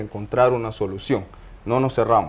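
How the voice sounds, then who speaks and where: A man talks at a moderate pace. His voice has a dark, mellow tone. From Panama, Los Uveros de Penonomé; Panama. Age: 30s. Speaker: mining engineer; guest. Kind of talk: interview testimony. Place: studio. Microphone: lapel.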